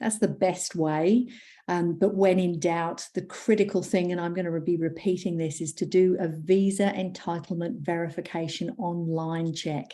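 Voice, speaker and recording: Barely pausing, a woman talks at a moderate pace in a fairly low, dark, mellow voice with fairly even intonation. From England. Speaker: migration agent. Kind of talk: webinar talk.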